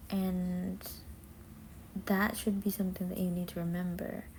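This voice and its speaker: A dark, mellow, somewhat breathy voice at a very slow pace, with a non-native accent. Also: woman. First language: not English. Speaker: vlogger. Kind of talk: self-talk monologue. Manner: casual, halting.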